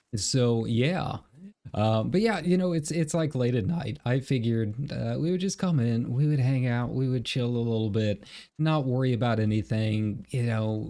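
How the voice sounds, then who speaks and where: A relaxed man speaks at a moderate pace in a dark, mellow, medium-pitched voice with ordinary pitch variation. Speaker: game streamer. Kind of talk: casual livestream chat. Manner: relaxed, halting with fillers.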